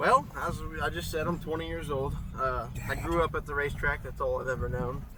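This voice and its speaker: Noticeable background noise and audible room echo surround the recording. A man with an American accent talks at a fairly quick pace. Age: 20s. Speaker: amateur race car driver. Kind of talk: casual chat. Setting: outdoors.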